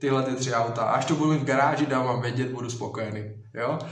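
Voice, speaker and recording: There is audible room echo and noticeable background noise. A man speaks at a medium pitch with fairly even intonation. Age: 20s. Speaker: social media influencer. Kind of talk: live Q&A stream.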